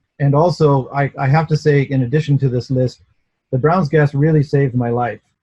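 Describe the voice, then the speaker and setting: The voice has a dark, mellow tone, somewhat breathy, with fairly even intonation at a fairly quick pace. The sound is dry and close with no echo. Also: man, fairly high pitch for a man. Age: 60s. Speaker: inventor. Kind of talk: interview testimony. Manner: hesitant, with repetitions.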